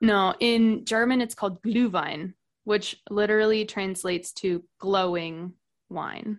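A woman with an American accent speaks at a fairly slow pace in an unremarkable speaking voice, her pitch medium with ordinary variation, against a quiet background. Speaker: podcast guest, expat. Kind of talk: casual chat.

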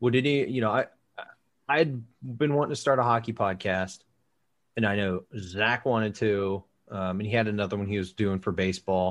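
A man speaking with a normal speaking voice, lively intonation and a moderate pace against a quiet background. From born South Carolina, grew up near Dayton, Ohio. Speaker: hockey podcaster. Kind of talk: casual chat.

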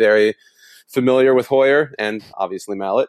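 An American accent in a plain, everyday voice, with ordinary pitch variation, a fairly quick pace and a quiet background. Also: man. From Texas. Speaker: sports blog editor. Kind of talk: casual chat.

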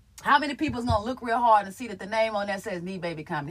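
An animated tone at a very fast pace amid noticeable background noise. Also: woman. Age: 30s. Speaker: comedian and content creator. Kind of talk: casual monologue on live stream. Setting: live stream.

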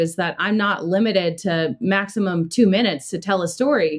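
A woman speaks in a normal speaking voice with an American accent. Her pitch is medium, with ordinary pitch variation. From Southern California. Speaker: YouTuber and former TV anchor. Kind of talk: casual interview.

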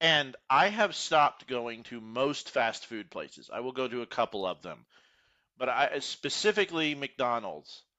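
With an American accent, a man speaks fairly slowly at a medium pitch, his intonation lively. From Texas, Houston suburbs. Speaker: podcast co-host. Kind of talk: casual chat.

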